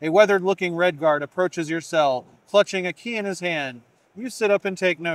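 Natural-voiced reading aloud

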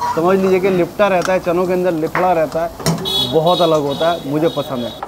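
A man's high-pitched voice at a fairly slow pace, over noticeable background noise. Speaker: food vlogger. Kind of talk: casual vlog chat. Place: kitchen. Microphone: phone near.

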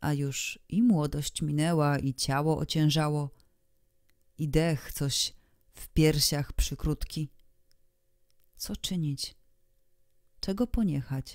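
At a very slow pace, a woman with a very deep, low pitch speaks with ordinary pitch variation and big swings in loudness. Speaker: audiobook narrator. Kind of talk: literary audiobook reading, scripted narration of a period short story. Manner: measured, expressive storytelling pace with archaic, ornate diction.

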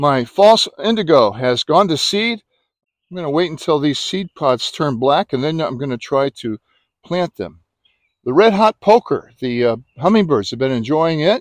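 A man's pitch swings very widely. The sound is dry, with no echo. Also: moderate pace, quiet background. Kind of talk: casual garden tour narration. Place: garden. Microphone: phone near.

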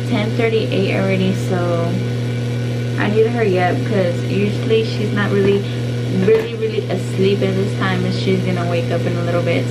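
Music behind a woman's voice, her pace moderate. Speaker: vlogger. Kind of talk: casual vlog chat.

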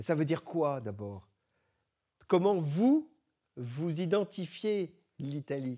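Over a quiet background, a man talks at a very slow pace. His tone is dark and mellow, with very wide pitch swings. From born in Lebanon, raised in France from age 12. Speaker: philosopher and author; guest. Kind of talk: talk to high school students. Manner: hesitant, many filler words. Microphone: handheld.

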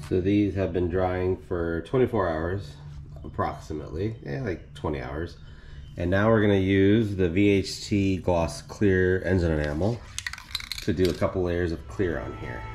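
With noticeable background noise, a man with a very deep, low pitch speaks at a moderate pace with ordinary pitch variation. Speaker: car DIY hobbyist. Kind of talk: DIY tutorial talk to camera. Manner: casual.

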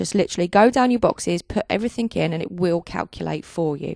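Against a quiet background, a woman speaks very fast in a dry sound with no echo. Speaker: software tutorial narrator. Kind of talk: tutorial. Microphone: handheld.

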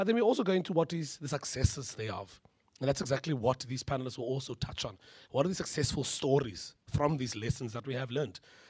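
A man speaks at a very fast pace. His voice is somewhat breathy. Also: medium pitch for a man, quiet background. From South Africa. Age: 20s. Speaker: panel facilitator and emcee. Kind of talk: panel moderation. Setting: stage with audience. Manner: animated. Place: hall. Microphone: podium.

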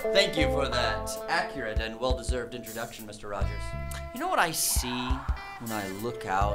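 Man speaking, clear background music behind him. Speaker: comic seduction guru character. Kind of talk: scripted comedic presentation speech. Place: meeting room.

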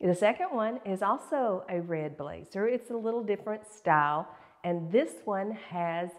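A woman speaks fairly slowly, her pitch varying in an ordinary way, with a quiet background behind her. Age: 60s. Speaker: fashion and beauty YouTuber; beauty YouTuber. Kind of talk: fashion tutorial. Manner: casual, chatty. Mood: warm, cheerful. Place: home room.

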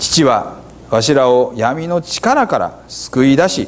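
A man speaks with a Hiroshima accent. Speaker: pastor. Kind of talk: scripture reading in Hiroshima dialect. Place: church. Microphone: lapel.

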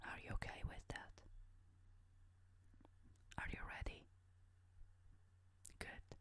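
A very slow whisper broken by long, frequent pauses. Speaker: ASMR creator. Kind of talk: ASMR role-play survey interview, asking questions. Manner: whispered, soft-spoken. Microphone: studio mic.

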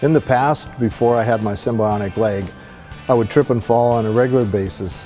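A man talks at a fairly quick pace with a Pacific Northwest accent. His pitch varies in an ordinary way, and faint music plays in the background. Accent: Pacific Northwest American. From Seattle, Washington. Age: 60s. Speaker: amputee, prosthetic leg user. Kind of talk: testimonial interview answer. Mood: earnest, reflective.

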